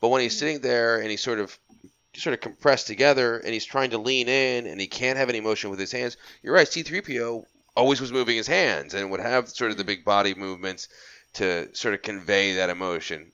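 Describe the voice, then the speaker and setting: A man talks at a fairly quick pace with ordinary pitch variation in a plain, everyday voice. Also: medium pitch for a man. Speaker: podcast host guest. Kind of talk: casual chat.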